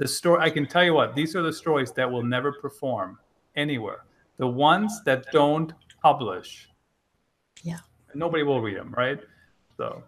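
The speech moves at a moderate pace with ordinary pitch variation. Long, frequent pauses break it up. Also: man, fairly high pitch for a man. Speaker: content marketing author. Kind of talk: casual interview.

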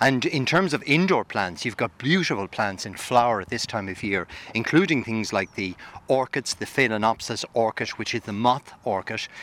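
A man speaks at a medium pitch and a moderate pace with lively intonation. The sound is dry and close, with no echo. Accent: Irish. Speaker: gardening expert. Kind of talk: radio interview. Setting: outdoors in a garden.

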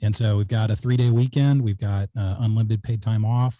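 An American accent with a dark, mellow tone, somewhat breathy delivery, fairly even intonation and a quiet background. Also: man. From South Texas. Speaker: company founder and CEO. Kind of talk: casual interview.

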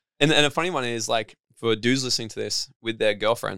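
With an Australian accent, a man speaks at a fairly quick pace in a medium pitch with ordinary pitch variation, a bright, sharp tone and a dry, close sound with no echo. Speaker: personal development coach and speaker. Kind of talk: interview. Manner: fast; animated.

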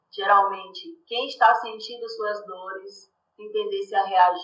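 Her fairly high pitch and bright, sharp tone carry lively intonation as the woman speaks at a fairly slow pace. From Salvador, Bahia, Brazil. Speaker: communications professional and activist. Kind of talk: casual interview chat. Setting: video call.

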